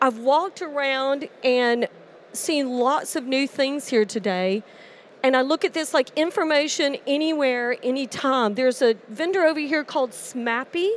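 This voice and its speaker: This woman has an American accent and a high pitch. She speaks at a moderate pace with ordinary pitch variation. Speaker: industry presenter. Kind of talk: conference presentation. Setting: conference stage with audience in headsets.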